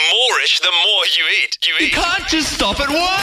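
A man speaks with music in the background. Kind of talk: radio show parody infomercial. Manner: hyped-up, salesy, over-the-top enthusiasm.

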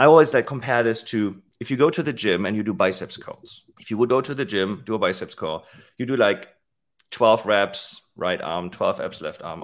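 A man with a German accent speaks at medium pitch with lively intonation and big swings in loudness. The recording is very clean with a silent background. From Germany. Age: 40s. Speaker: fitness tech company CEO. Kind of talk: interview.

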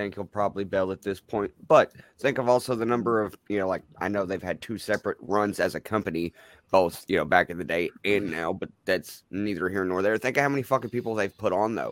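In a very clean recording with a silent background and a dry, close sound with no echo, a man with a fairly low pitch and an unremarkable speaking voice talks at a fairly quick pace with ordinary pitch variation. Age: 20s. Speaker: wrestling manager. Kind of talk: casual chat.

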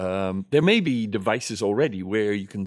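A man with a Dutch accent talks at a moderate pace in a fairly low pitch. The recording is very clean, with a silent background. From Netherlands. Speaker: mime and playback theatre performer. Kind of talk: interview.

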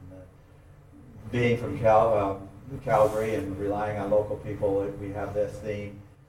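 The speaker talks at a fairly slow pace in a monotone, flat intonation, with long, frequent pauses, big swings in loudness and noticeable background noise. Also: man, fairly low pitch for a man. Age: 80s+. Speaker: beekeeping professor and author. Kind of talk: live interview on stage. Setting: conference stage with live audience. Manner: halting, repeats words.

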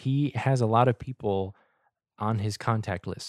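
On a very clean recording with a silent background and a dry, close sound with no echo, a man speaks at a fairly low pitch with ordinary pitch variation. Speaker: gaming podcast host. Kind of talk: casual solo chat. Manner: rambling, talks in circles.

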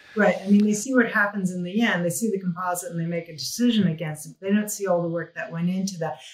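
Over noticeable background noise, a woman talks at a very fast pace with hardly any pauses, at a medium pitch with ordinary pitch variation and big swings in loudness. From New Mexico, US. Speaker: visual effects executive. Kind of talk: interview.

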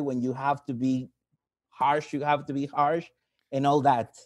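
With a Mexican accent, a man speaks at a moderate pace in a fairly high pitch. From Mexico. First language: Spanish. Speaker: caller, English teacher. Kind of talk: call-in question. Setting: call.

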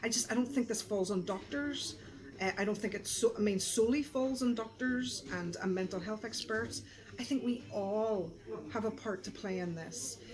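A woman speaks in a Belfast accent at a moderate pace. Her pitch is fairly high and varies in an ordinary way. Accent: Belfast Northern Irish. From Northern Ireland, East Belfast. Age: 40s. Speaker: pastor. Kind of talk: casual chat. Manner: animated.

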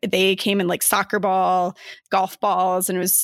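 A woman with an American accent and an unremarkable speaking voice, medium pitch and fairly even intonation, in a very clean recording with a silent background and a dry, close sound with no echo. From Arizona (Flagstaff). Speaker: board game designer and graphic designer. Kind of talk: casual interview.

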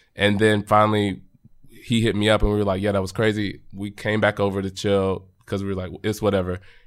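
A man with an American accent talks at a fairly quick pace in a plain, everyday voice, pitched fairly low. The recording is very clean, with a silent background. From Texas, Arlington near Dallas. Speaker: podcast guest. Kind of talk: casual chat.

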